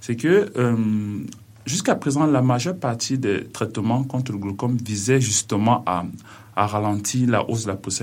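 Medium-pitched male voice at a moderate pace, with ordinary pitch variation. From Cameroon. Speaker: PhD student researcher. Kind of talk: radio interview. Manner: halting.

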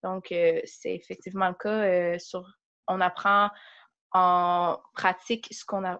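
A woman's monotone, flat delivery against a quiet background. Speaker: university student. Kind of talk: interview.

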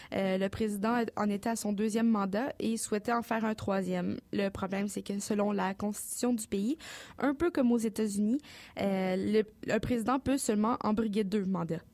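A woman speaks at medium pitch with ordinary pitch variation and very even loudness. The recording is very clean, with a silent background. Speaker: news columnist. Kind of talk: news report. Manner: fast.

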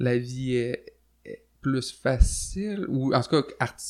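This is a man speaking at a medium pitch. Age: 20s. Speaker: musician. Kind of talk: casual chat.

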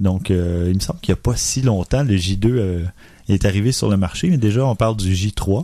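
Dark and mellow in tone, a man's fairly low voice keeps very even loudness, ordinary pitch variation and a moderate pace. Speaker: photography podcast host. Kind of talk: casual chat.

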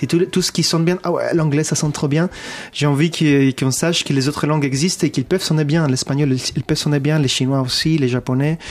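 A man with an unremarkable speaking voice, fairly high in pitch, fairly quick, with very even loudness and fairly even intonation. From abroad, not France. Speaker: musician. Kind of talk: interview chat. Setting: studio.

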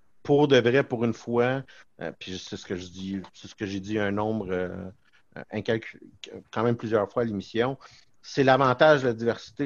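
A plain, everyday voice speaks at a moderate pace with fairly even intonation over a quiet background. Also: man. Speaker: podcast co-host. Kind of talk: casual chat.

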